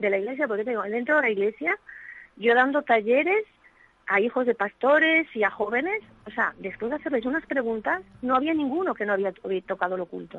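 A woman talks at a fairly quick pace in a high voice with lively intonation. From Asturias, Spain. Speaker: evangelical pastor. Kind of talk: testimony. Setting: remote connection.

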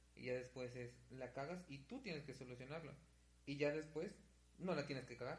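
Audible room echo surrounds a man speaking at a moderate pace. His fairly high voice shows ordinary pitch variation and vocal fry. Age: 20s. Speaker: podcast co-host, university student. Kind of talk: casual chat.

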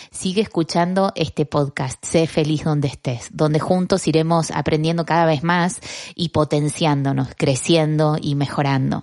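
Against a quiet background, a woman with a very deep, low pitch speaks at a fairly slow pace with fairly even intonation, the sound dry and close with no echo. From Argentina. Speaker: podcast host, communicator. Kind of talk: motivational podcast monologue.

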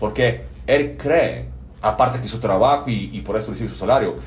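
Recorded with audible room echo, a man speaks at a moderate pace with a Bulgarian accent. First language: Bulgarian (speaking Spanish). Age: 40s. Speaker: business consultant, former lawyer. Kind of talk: podcast interview. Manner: hesitant, many fillers.

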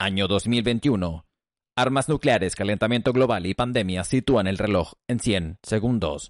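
A man with an unremarkable speaking voice and a fairly low pitch. He talks at a fairly slow pace with ordinary pitch variation. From Chile, Santiago. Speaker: podcast host. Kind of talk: scripted narration; casual chat.

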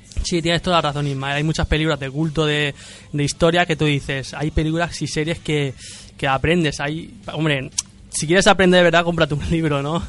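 A man talks at a fairly quick pace in a fairly high pitch. His intonation is monotone and flat. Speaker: podcast host. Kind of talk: casual chat. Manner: halting, many repetitions.

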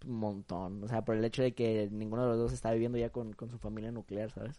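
A man talks very fast in a dark, mellow tone with monotone, flat intonation. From Acapulco, Guerrero, Mexico. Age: young. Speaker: university student. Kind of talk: casual chat.

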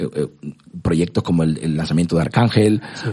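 This is a man talking. His voice is very deep and low in pitch. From Cuba. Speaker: music industry executive. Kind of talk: interview. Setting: studio. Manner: halting, many repetitions.

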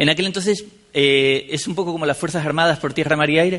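A man speaks very fast in a fairly high voice, his pitch varying an ordinary amount. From Canary Islands, Spain (La Laguna, Tenerife). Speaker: software developer and conference speaker. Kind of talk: conference talk. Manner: halting, with frequent repetitions and fillers.

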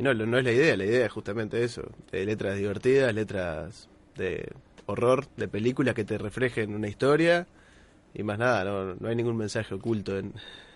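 A man with a normal speaking voice, ordinary pitch variation, and a quiet background. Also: medium pitch for a man, fairly quick pace. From Uruguay, Minas. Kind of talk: casual chat.

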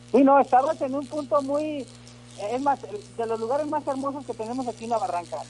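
A man with an extremely high pitch and ordinary pitch variation speaks at a fairly quick pace amid noticeable background noise. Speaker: caller, vendor. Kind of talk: casual chat.

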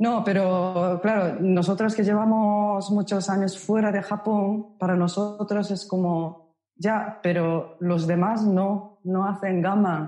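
A woman speaks very slowly with hardly any pauses. Her intonation is monotone and flat. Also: medium pitch for a woman, very even loudness. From Japan, Osaka. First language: Japanese (speaking Spanish). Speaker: Japanese language instructor. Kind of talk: casual interview conversation.

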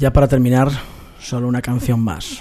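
A man's voice has a medium pitch and a dark, mellow tone. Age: 40s. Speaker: radio host. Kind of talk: radio show presentation.

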